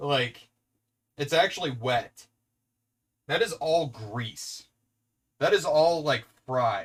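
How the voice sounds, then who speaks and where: A man with an American accent talks at a very slow pace and a fairly high pitch, his intonation lively and his pauses long and frequent. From US Pacific Northwest. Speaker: streamer. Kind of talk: live stream cooking chat. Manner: loud; animated.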